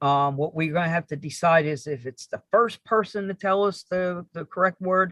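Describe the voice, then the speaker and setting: Speaking at a moderate pace in a New York accent, a man with a high pitch and ordinary pitch variation is recorded with a dry, close sound, no echo, and a quiet background. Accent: Northeast US, New York. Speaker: RC hobby show host. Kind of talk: live stream casual chat. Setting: live stream.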